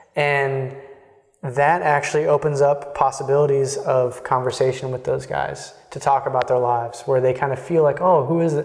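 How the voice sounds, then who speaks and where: A flat monotone in a Texan accent at a moderate pace, over noticeable background noise. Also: man, fairly high pitch for a man. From Texas. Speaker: Jesuit in formation. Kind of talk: interview conversation. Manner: halting, many fillers.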